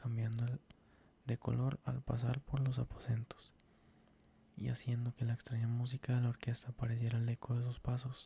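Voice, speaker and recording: Dark and mellow in tone and somewhat breathy, a man's medium-pitched voice moves at a moderate pace with monotone, flat intonation and very even loudness, the sound dry and close with no echo. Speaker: ASMR creator reading stories. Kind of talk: horror story reading for sleep (ASMR).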